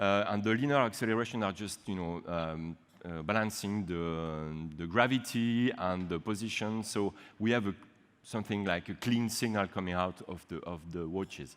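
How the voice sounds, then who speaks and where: In a French accent, a man speaks at a fairly low pitch. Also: ordinary pitch variation, moderate pace. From French-speaking Switzerland. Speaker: university researcher; conference presenter. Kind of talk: conference talk. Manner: halting, many fillers. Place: hall.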